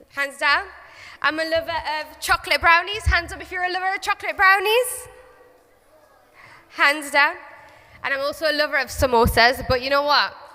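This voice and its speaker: A woman with a Geordie accent speaks at an extremely high pitch and a fairly quick pace, her raised, projected voice animated in tone with lively intonation and big swings in loudness, broken by long, frequent pauses. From northern England, Newcastle. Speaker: children's author. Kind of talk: school talk to children.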